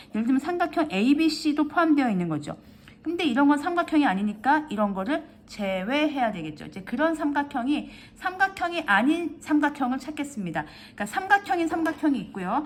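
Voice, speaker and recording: A woman speaks at a fairly quick pace. Her high voice swings very widely in pitch. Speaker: math tutor. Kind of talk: tutorial. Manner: fast; halting.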